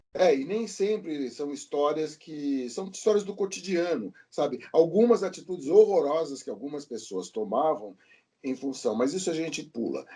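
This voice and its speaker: Against a quiet background, a man with a dark, mellow tone speaks at a moderate pace and fairly high pitch, his pitch swinging very widely. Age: 60s. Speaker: podcast guest, comics enthusiast. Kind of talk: casual chat.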